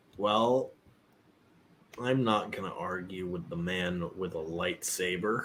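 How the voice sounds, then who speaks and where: Using a put-on character voice, a man speaks with a raspy, very deep, low pitch at a fairly slow pace, with long, frequent pauses. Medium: actual play. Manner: gruff, curt, irritable.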